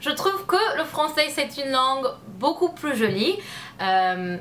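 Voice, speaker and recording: A woman with an English accent in a raised, projected voice, high-pitched with very wide pitch swings, very slow, amid noticeable background noise. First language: English (speaking French). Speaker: youtuber. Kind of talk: casual chat. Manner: halting.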